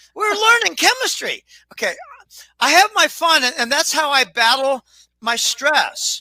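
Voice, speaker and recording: With long, frequent pauses, a man talks fairly slowly in a raised, projected voice whose pitch swings very widely. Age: 70s. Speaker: financial commentator. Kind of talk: casual chat. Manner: halting.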